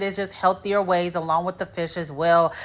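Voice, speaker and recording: At a moderate pace, this woman talks with an American accent. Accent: Midwestern US, commented on by viewers. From US Midwest. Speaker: hair care YouTuber. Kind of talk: casual tutorial talk to camera.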